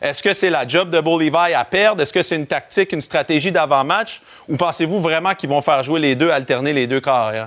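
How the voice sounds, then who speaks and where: Here is a man with a normal speaking voice and fairly high pitch. He talks at a fairly quick pace with ordinary pitch variation. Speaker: football analyst. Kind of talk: sports talk.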